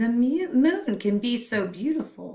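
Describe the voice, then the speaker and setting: A female-sounding put-on character voice, high in pitch, at a fairly slow pace. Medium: read story.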